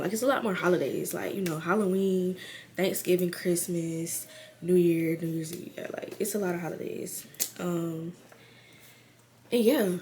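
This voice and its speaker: A woman talks at a fairly low pitch with fairly even intonation. Noticeable background noise sits behind her. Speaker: YouTuber. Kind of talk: casual vlog. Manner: casual, filler-heavy.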